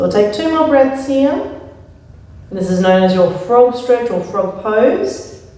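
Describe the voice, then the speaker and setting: Over noticeable background noise and audible room echo, a woman speaks fairly slowly in a calm, soothing tone, her fairly high voice marked by lively intonation. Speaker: yoga instructor. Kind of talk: guided yoga class.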